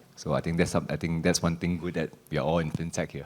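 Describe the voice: Fast and with little pitch movement, a man speaks in an extremely low-pitched voice with a slightly mellow tone.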